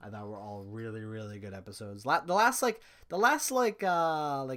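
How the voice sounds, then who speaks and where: In a very clean recording with a silent background, a man speaks at a fairly quick pace in an animated tone that is bright and sharp. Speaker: streamer. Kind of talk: casual monologue review. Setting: live stream. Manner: stuttering, rambling.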